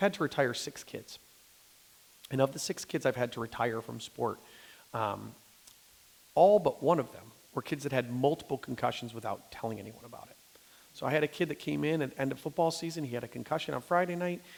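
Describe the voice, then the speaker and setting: A man's medium-pitched voice with an American accent, fairly quick yet broken by long, frequent pauses, with vocal fry, an animated tone and ordinary pitch variation. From US Midwest, Detroit. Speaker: pediatrician. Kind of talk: talk with audience Q&A. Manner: fast.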